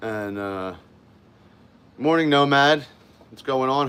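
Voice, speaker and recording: A man's medium-pitched voice, fairly slow in pace, with ordinary pitch variation. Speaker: live streamer. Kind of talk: casual live stream chat. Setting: home office by window. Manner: loud.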